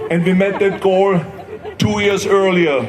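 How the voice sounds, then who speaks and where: A high-pitched male voice with fairly even intonation, set against noticeable background noise. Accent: Austrian. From Austria. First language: German. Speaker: former politician and actor. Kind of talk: public speech at a climate rally. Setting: outdoors.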